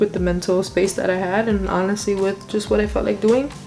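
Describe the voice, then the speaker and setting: Music plays behind a woman speaking at a medium pitch. Her intonation stays fairly even, and the room gives an audible echo. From Brooklyn, New York (Puerto Rican family). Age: 20s. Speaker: makeup artist and vlogger. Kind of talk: casual chat.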